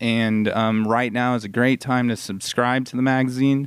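An unremarkable speaking voice from a man at medium pitch, moderate pace and fairly even intonation. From California. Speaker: magazine editor and radio host. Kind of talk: radio interview. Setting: live radio show at a mall.

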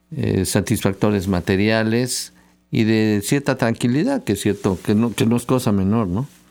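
The speaker reads aloud in a natural voice.

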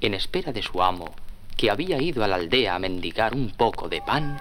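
A man's fairly quick pace comes with lively intonation.

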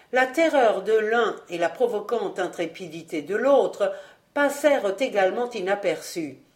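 The intonation is lively while the speaker is reading aloud in a natural voice.

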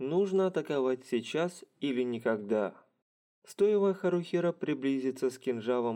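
An unforced reading voice carries lively intonation over a quiet background.

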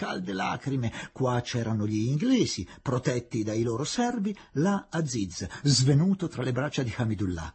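Someone reads aloud here in a natural voice.

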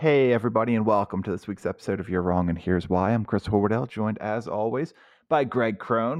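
A man puts on a raspy character voice at a medium pitch, talking at a very fast pace. The sound is dry and close with no echo, over a quiet background. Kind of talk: hyped, radio-style intro. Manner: announcer voice.

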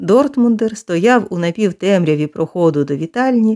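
The passage comes in a natural reading voice, its intonation lively.

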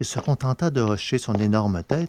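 Simple, plain reading aloud

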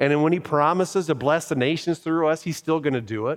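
This is an ordinary speaking voice, and its pitch varies in an ordinary way. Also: man. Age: 50s. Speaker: pastor. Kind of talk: sermon. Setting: church.

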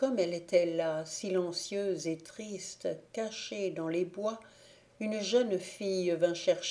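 A natural reading voice, its pitch variation ordinary

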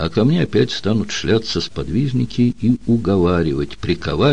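Lively intonation in an unforced reading voice

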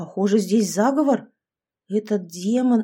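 Ordinary pitch variation in plain reading aloud, against a quiet background.

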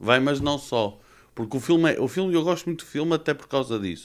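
A man speaks at a fairly quick pace with medium pitch and ordinary pitch variation in a plain, everyday voice, on a very clean recording with a silent background. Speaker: film podcast guest. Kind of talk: casual chat.

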